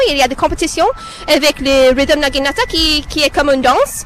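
There is noticeable background noise. Through it, a woman speaks. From Canada. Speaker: martial arts performer. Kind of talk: live radio interview. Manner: halting.

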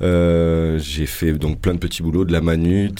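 A man's very deep, low voice with a dark, mellow tone, at a very slow pace, in a very clean recording with a silent background. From France, Poitou (Vienne). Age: 30s. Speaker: radio sound engineer. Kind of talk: casual chat. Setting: radio studio.

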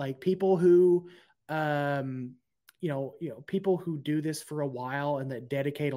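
In an unremarkable speaking voice with an American accent, a man talks at a moderate pace and fairly high pitch with ordinary pitch variation, on a very clean recording with a silent background. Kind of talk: casual chat.

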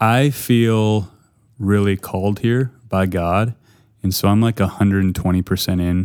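A man with an unremarkable speaking voice, fairly low pitch and fairly even intonation, at a moderate pace, on a very clean recording with a silent background. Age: 30s. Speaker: pastor. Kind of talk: casual chat. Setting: studio.

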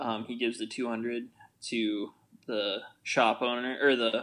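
Monotone, flat intonation with an American accent. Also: man, quiet background. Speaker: podcast co-host. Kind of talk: casual podcast chat about a film.

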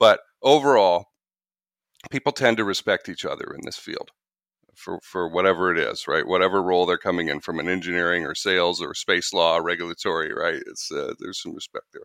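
Fairly quick speech from a man, big swings in loudness, and a dry, close sound with no echo. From Canada. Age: 40s. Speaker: sales trainer and podcast host. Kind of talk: interview.

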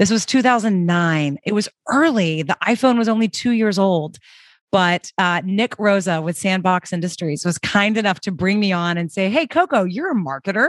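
Against a quiet background, a woman with an American accent talks at a moderate pace in an unremarkable speaking voice of medium pitch, with lively intonation and a dry, close sound with no echo. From US South, Birmingham, Alabama. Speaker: entrepreneur, startup founder and CEO. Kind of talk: interview.

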